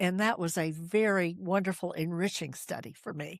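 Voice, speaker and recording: At a fairly slow pace, a woman speaks at medium pitch with ordinary pitch variation. The recording is very clean with a silent background, dry and close with no echo. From US Appalachia, Asheville, North Carolina. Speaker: storyteller and author. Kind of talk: interview.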